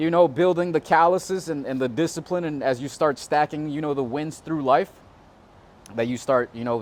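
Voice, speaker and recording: A man with an American accent, fairly high-pitched, at a moderate pace. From South Florida (Hollywood / Fort Lauderdale / Davie area). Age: 20s. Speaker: real estate agent. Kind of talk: casual interview. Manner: halting, many fillers and restarts.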